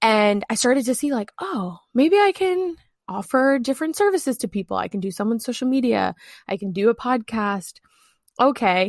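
Very wide pitch swings mark a woman's fairly high voice, spoken with an American accent at a moderate pace on a very clean recording with a silent background and a dry, close sound with no echo. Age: 20s. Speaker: content strategist and former journalist. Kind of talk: interview.

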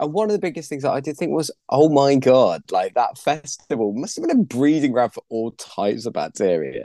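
Heard in a dry, close sound with no echo, a man talks at a fairly quick pace. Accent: British. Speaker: stand-up comedian and author. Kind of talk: casual interview chat.

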